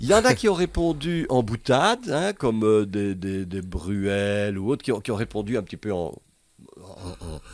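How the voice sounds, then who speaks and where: At a fairly slow pace, a man speaks with a fairly low pitch, lively intonation and big swings in loudness. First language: Dutch (Flemish) (speaking French). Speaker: comedian. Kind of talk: interview. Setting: studio. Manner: halting.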